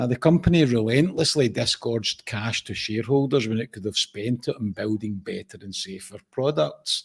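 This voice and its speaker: In a dry, close recording with no echo, a man with a Scottish accent speaks with hardly any pauses in a somewhat breathy, medium-pitched voice. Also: ordinary pitch variation, moderate pace. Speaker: podcast co-host. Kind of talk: casual chat.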